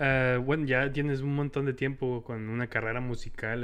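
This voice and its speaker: Medium in pitch, a man speaks with monotone, flat intonation. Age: 20s. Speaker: podcast host. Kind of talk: casual interview. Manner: frequent fillers and laughter.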